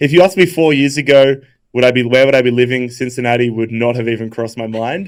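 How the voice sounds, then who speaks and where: The speaker is male. He talks with an Australian accent. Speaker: YouTuber. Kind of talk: casual chat. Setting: live stream.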